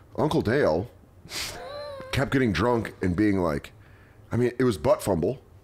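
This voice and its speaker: A man speaks at a moderate pace with lively intonation and very even loudness, pausing long and often. Noticeable background noise runs underneath. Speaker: comedian and podcast host. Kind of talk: casual chat. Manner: animated.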